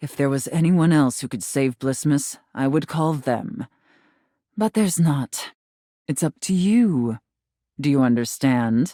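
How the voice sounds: In a put-on character voice, a woman speaks slowly at an extremely low pitch with lively intonation and a dark, mellow tone, the sound dry and close with no echo. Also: very clean recording, silent background.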